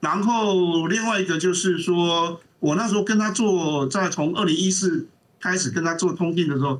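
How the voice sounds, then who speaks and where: Pitched high for a man, this male voice moves at a moderate pace with ordinary pitch variation and very even loudness. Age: old. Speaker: documentary film director and film lecturer. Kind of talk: interview. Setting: remote call.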